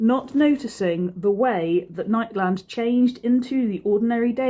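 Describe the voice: Plain reading aloud with ordinary pitch variation fills this clip.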